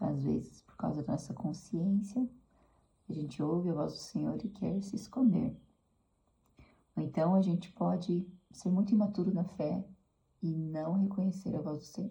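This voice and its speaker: The voice is soft-spoken, with a dark, mellow tone and vocal fry. It moves at a moderate pace with long, frequent pauses. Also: woman, fairly low pitch for a woman, ordinary pitch variation. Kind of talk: devotional talk. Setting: at home.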